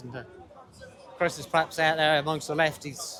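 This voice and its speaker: A man with an English accent, fairly high in pitch, at a moderate pace, with crowd noise in the background. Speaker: livestreamer at a street protest. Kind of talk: live walkaround commentary. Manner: loud, shouting over noise.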